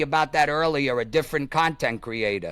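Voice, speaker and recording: A bright, sharp tone with ordinary pitch variation on a very clean recording with a silent background. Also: man. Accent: New York. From Staten Island, New York. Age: 40s. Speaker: YouTube content creator. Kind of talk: casual interview chat.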